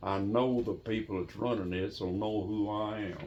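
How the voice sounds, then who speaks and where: This man talks in a flat monotone at a fairly low pitch. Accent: Appalachian. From Appalachia. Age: 80s+. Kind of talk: interview answer. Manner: storytelling.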